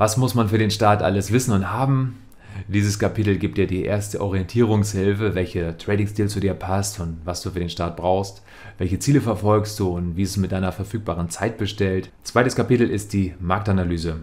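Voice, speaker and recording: A man speaks at a fairly low pitch, somewhat breathy. His intonation stays fairly even. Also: moderate pace. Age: 30s. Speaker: trading educator. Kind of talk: scripted narration. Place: home room. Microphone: studio mic.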